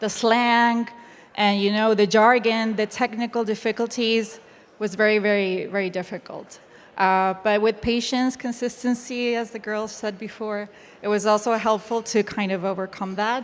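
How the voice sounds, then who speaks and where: The speaker has a Spanish accent and talks at a moderate pace with monotone, flat intonation. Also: woman, fairly high pitch for a woman. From Chile. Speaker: web3 educator. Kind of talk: panel discussion.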